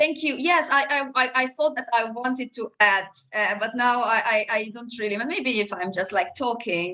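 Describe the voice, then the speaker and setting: A woman with a Hungarian accent speaks at a moderate pace, with hardly any pauses. Her high-pitched voice has lively intonation. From Hungary. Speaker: law professor. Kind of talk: academic panel discussion. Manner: halting, many repetitions.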